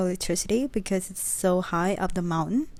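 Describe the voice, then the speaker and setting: Her medium-pitched voice carrying a dark, mellow tone, a woman is heard on a very clean recording with a silent background. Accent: non-native. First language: not English. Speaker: travel vlogger. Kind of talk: vlog narration. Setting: outdoors.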